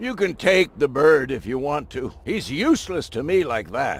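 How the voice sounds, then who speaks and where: A man puts on a character voice, talking at a moderate pace and pitched fairly high. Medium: video game. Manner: blunt.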